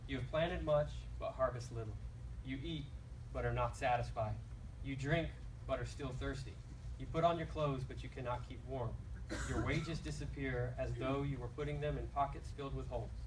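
A man talks fairly fast while background noise is noticeable. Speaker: scripture reader. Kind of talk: scripture reading. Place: church.

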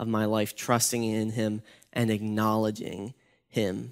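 Against a quiet background, a man is talking. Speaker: youth pastor. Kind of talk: devotional talk. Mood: calm, earnest, encouraging. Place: church. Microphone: headset.

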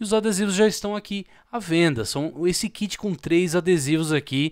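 A man with a Brazilian accent and a high pitch speaks in an animated tone at a moderate pace, his pitch varying normally, the sound dry with no echo and the background quiet. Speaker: YouTuber selling own stickers. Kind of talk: street-vendor-style sales pitch. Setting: home video recording, showing stickers to camera. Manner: animated, pitchy, repeating 'tá?' and praising the product. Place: home room. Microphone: studio mic.

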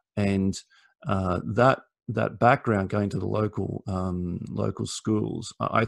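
A man talks at a very slow pace with an Australian accent, fairly low pitch and fairly even intonation. The sound is dry with no echo, over a quiet background. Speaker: lawyer. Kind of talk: career talk to students. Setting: video call. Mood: warm, relaxed, encouraging. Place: home room. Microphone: video call.

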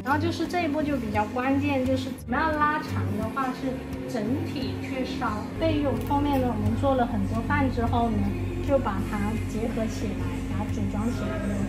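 Loud music plays behind a woman who speaks at a moderate pace. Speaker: glass craft instructor. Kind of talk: tutorial. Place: workshop. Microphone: phone near.

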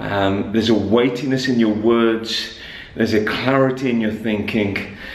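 A man's fairly slow, fairly even delivery amid audible room echo. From Wolverhampton, West Midlands, England. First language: Punjabi and English. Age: 40s. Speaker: pastor. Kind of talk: casual vlog talk to camera. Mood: earnest, intense. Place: hall. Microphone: phone near.

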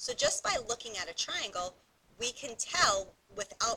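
This woman's speech moves at a moderate pace, with noticeable background noise behind it. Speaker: math teacher. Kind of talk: tutorial.

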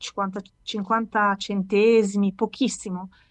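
Speech at a very slow pace over a quiet background. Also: woman. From Milan, northern Italy. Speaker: author; interviewee. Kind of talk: casual interview. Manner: halting, with many fillers. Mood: warm, animated, smiling. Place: home room. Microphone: video call.

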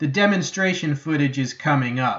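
The background is silent apart from a man's voice. His pitch varies in an ordinary way. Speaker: knife reviewer. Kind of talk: product review commentary. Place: open country.

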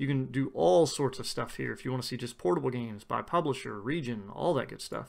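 A man talking at a fairly quick pace, on a very clean recording with a silent background. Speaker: tech YouTuber. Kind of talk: tutorial. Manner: fast.

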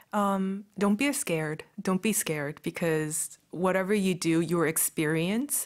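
A woman at a fairly slow pace with hardly any pauses, ordinary pitch variation, very even loudness and a quiet background. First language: Korean. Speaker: fashion designer; guest. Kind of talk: radio interview. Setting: radio studio. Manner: hesitant, many fillers. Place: studio. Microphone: studio mic.

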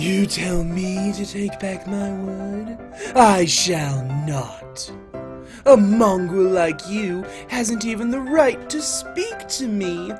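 Over clear music in the background, a man with a high pitch talks at a very slow pace. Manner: haughty, contemptuous.

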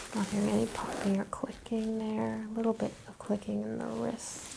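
Soft-spoken yet with big swings in loudness, a woman talks at a fairly quick pace over noticeable background noise. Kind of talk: hands-on assessment talk with explanation. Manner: soft, quiet ASMR-style speech. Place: home room. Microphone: lapel.

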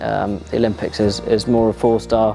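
A man talking at a fairly quick pace over clear music in the background. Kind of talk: interview answer.

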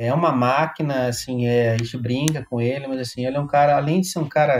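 This man has an unremarkable speaking voice at medium pitch. His intonation is fairly even. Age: 40s. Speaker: tech company founder and angel investor. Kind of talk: interview.

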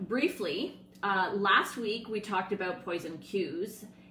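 A woman talks over light background noise with audible room echo. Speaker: dog sport training coach. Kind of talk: casual educational talk to camera. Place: home room. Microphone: phone near.

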